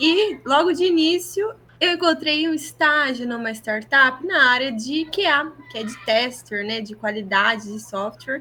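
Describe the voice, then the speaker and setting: A woman's raised, projected voice, high in pitch, with lively intonation, big swings in loudness, a fairly slow pace and hardly any pauses. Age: 20s. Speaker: podcast co-host, product manager. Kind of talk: casual chat.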